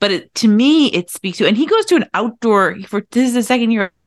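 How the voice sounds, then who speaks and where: With an American accent, a plain, everyday voice moves at a moderate pace with lively intonation. The sound is dry and close with no echo, against a quiet background. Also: woman. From US, Irish American beach town. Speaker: podcast co-host and coach. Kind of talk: casual chat.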